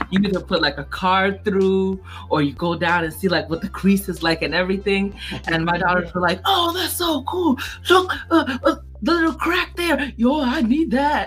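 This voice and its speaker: The speech moves at a moderate pace with music playing in the background. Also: woman. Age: 30s. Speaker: tech podcast co-host. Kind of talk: casual chat. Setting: live stream.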